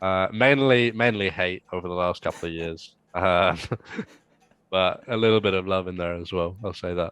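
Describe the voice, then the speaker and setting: A man with an English accent, a very deep, low pitch, ordinary pitch variation and a moderate pace. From England. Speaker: sports podcast guest. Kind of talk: casual chat.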